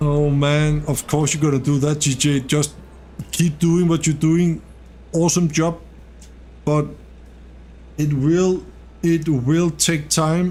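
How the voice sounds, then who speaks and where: A man speaks very slowly, with long, frequent pauses and very even loudness. His fairly high, somewhat breathy voice has a dark, mellow tone and monotone, flat intonation. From Denmark. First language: Danish. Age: 40s. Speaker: gaming streamer. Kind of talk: casual live stream chat. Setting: live stream. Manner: relaxed, conversational.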